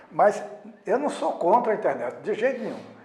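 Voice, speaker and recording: Noticeable background noise and audible room echo fill this recording. A man speaks with lively intonation. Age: 80s+. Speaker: sociologist, former newspaper president. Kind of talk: interview.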